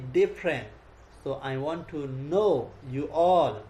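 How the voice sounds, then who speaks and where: A man with a Nepali accent talks at a very slow pace. His tone is dark and mellow, with lively intonation. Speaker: Buddhist monk. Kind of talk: dharma talk. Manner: halting.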